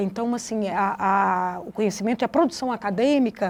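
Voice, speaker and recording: Talking at a fairly slow pace, a woman with a strong Minas Gerais accent shows ordinary pitch variation. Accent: strong Minas Gerais (mineiro). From Brazil, Vale do Jequitinhonha, Minas Gerais. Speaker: educator and researcher. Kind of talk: interview. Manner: halting, many fillers and restarts.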